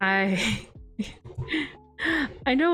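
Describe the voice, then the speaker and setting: Soft-spoken, a woman talks with very wide pitch swings on a very clean recording with a silent background. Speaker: VTuber. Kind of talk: casual livestream chat.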